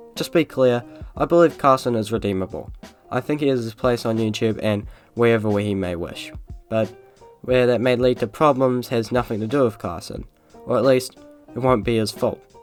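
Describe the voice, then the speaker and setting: A man at a medium pitch and moderate pace, ordinary pitch variation, long and frequent pauses, music in the background. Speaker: YouTube commentator. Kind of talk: commentary narration. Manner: slightly slurred.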